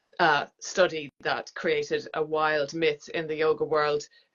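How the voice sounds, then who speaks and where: A woman with an Irish accent, very deep and low in pitch, in a monotone, flat delivery at a very slow pace. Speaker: yoga teacher. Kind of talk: interview.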